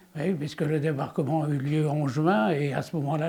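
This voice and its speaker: Somewhat breathy and dark, mellow in tone, a man with a fairly high pitch speaks at a moderate pace. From France, Le Mans area (Sarthe). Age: 90s. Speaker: war witness. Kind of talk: testimony. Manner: halting, with many hesitations.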